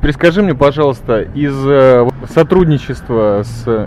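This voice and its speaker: Fairly slow speech from a man at medium pitch, ordinary pitch variation, noticeable background noise. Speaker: radio podcast host. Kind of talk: casual interview. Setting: microbrewery bar in Tel Aviv. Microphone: old media player recording, poor quality.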